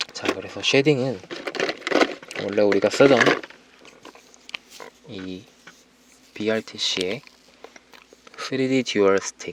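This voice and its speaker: A man with a fairly low pitch speaks at a very slow pace, with long, frequent pauses and big swings in loudness. Noticeable background noise is present. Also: ordinary pitch variation. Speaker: ASMR artist. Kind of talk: ASMR makeup roleplay, soft-spoken instructions.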